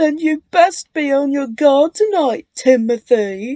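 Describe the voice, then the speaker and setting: A woman's high-pitched, put-on character voice. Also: fairly slow pace. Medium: read story. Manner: chuckling, mischievous.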